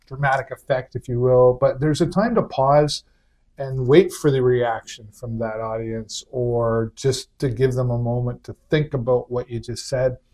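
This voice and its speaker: A man talks at a moderate pace and medium pitch with fairly even intonation. His tone is dark, mellow, and somewhat breathy. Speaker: talk show host. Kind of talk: interview.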